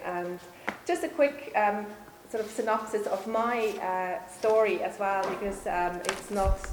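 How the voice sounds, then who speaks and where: At a fairly slow pace, a woman with a Swiss accent speaks at medium pitch amid noticeable background noise and audible room echo. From Switzerland. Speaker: nutritional therapist. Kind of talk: public talk. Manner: hesitant, many fillers.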